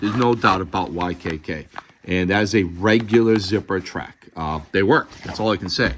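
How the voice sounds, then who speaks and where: A man speaks in a Boston accent with a very deep, low pitch. His pace is moderate, with ordinary pitch variation. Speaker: gear reviewer. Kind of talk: product review tutorial. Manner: casual, halting with fillers.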